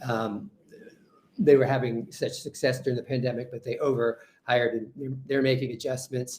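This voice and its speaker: The speaker has an American accent and a somewhat breathy voice. Intonation stays fairly even at a moderate pace. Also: man, medium pitch for a man. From New York. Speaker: HR consultant. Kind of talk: webinar presentation. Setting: webinar.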